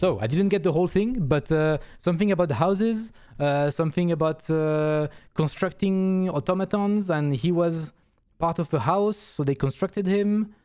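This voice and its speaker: A man's dark, mellow voice, high-pitched for a man, with a non-native accent, ordinary pitch variation, very even loudness and a moderate pace, on a very clean recording against a silent background. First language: not English. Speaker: video game streamer. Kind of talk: casual live-stream chat.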